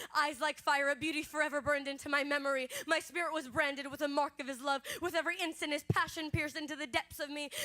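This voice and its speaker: A woman's high-pitched, raised, projected voice, very fast with hardly any pauses and monotone, flat intonation, over music in the background. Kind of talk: spoken word poetry performance. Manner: expressive, rhythmic.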